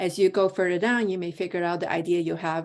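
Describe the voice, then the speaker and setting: Over a quiet background, a woman with a fairly low pitch talks in a monotone, flat intonation. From Hong Kong. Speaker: entrepreneur and project manager. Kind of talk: presentation. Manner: fast.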